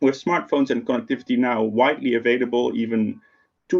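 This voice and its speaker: A man with a slight Dutch accent at a fairly quick pace. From Netherlands. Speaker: tech company program manager. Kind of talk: keynote talk. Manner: conversational, with fillers.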